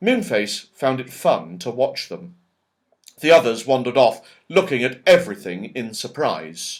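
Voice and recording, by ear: At a fairly slow pace, a man speaks at a medium pitch with big pitch swings.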